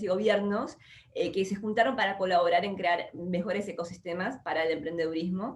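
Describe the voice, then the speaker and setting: A woman talks at a moderate pace with ordinary pitch variation. Noticeable background noise runs underneath. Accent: porteño. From Argentina, Buenos Aires. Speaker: entrepreneur and investor. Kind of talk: interview. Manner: hesitant fillers.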